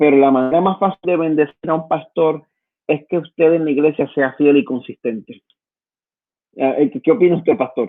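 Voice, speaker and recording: A man with a Puerto Rican accent, fairly high in pitch, with ordinary pitch variation, at a moderate pace. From Puerto Rico. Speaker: pastor. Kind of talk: sermon-style exhortation in online service. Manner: halting, many repetitions and fillers.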